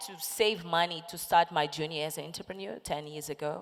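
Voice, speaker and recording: With a Portuguese accent, a woman speaks at a moderate pace. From Lusophone Africa. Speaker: entrepreneur and women's empowerment founder. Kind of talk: panel discussion.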